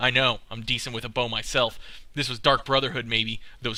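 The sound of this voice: Unforced voice reading a text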